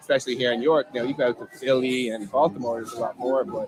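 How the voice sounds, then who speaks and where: Speech comes at a very fast pace over music in the background. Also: man. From Ireland, Dublin. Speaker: bartending business owner. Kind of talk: casual interview chat. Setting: outdoor live street event.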